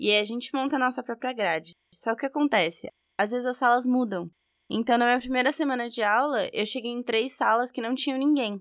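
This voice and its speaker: A woman with a São Paulo accent, high-pitched with ordinary pitch variation, at a fairly quick pace, in a dry, close sound with no echo on a very clean recording with a silent background. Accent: São Bernardo accent, noticeable. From São Bernardo, São Paulo state, Brazil. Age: 20s. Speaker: university student. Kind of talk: recorded interview.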